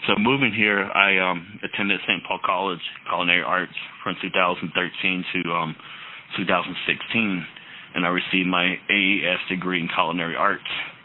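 A man with an American accent talks at a moderate pace in a very deep, low pitch. His intonation stays monotone and flat amid noticeable background noise. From Navajo Nation, northeast Arizona. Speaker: chef. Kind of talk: interview.

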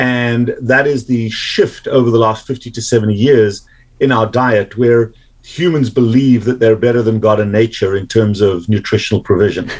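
A man with a South African accent talks at a moderate pace in a medium pitch, his intonation fairly even. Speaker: medical doctor. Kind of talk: interview.

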